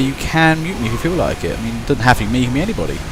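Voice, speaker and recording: Through noticeable background noise and audible room echo, a man with a Kent accent speaks at a very fast pace with a medium pitch and lively intonation. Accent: Kentish. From Kent, southeast England. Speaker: video game commentator. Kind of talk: live commentary. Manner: casual, rambling with hesitations.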